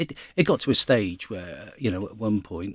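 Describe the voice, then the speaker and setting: A man speaks with a fairly low pitch. The sound is dry and close with no echo, on a very clean recording with a silent background. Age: 50s. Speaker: rugby club president. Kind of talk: interview. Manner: halting, many fillers and repetitions.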